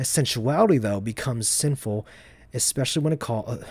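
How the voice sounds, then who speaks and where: A somewhat breathy man's voice at medium pitch. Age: 20s. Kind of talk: reading aloud. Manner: halting.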